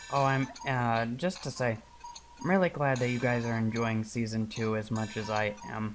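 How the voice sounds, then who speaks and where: A moderate pace carries the speech while noticeable background noise runs underneath. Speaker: gaming YouTuber. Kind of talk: let's play commentary.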